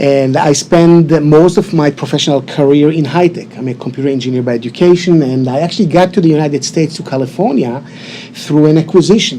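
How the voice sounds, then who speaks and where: A man speaks fairly quickly in an Israeli accent, his fairly high pitch showing ordinary variation. Noticeable background noise is present. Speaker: insurance sales associate. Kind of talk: TV interview.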